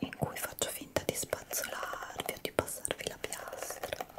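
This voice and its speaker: Whispering, a woman speaks at a fairly slow pace. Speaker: ASMR creator. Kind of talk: soft-spoken ASMR chat. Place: home room. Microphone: studio mic.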